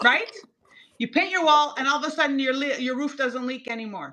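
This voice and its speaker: Against a quiet background, a woman projects a raised, high-pitched voice with a bright, sharp and animated tone. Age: 60s. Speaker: cosmetic chemist and skincare brand founder. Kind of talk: TV shopping presentation.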